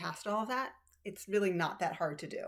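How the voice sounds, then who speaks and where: Against noticeable background noise, a woman talks fairly quickly with ordinary pitch variation. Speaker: cross stitch video creator. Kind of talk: casual chat. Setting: home room. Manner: filler-heavy, casual.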